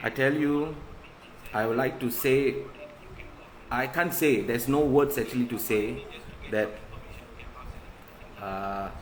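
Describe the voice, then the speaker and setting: A man speaks at a fairly slow pace with long, frequent pauses. His medium pitch shows ordinary variation, and the room echo is audible. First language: not English. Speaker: covid survivor sharing his story. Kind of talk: live stream monologue. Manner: halting.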